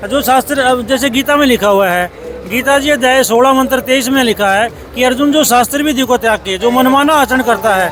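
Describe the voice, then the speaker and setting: With music in the background, a man speaks at an extremely high pitch and a moderate pace, his loudness very even and his pitch varying in an ordinary way. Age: 60s. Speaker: religious devotee. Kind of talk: interview.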